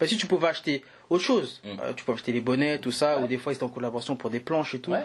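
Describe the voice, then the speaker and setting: The background stays quiet. A man speaks very fast, his pitch varying in an ordinary way. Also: medium pitch for a man. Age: 30s. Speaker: entrepreneur, business partner. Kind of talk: casual conversation. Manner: halting, frequent hesitations.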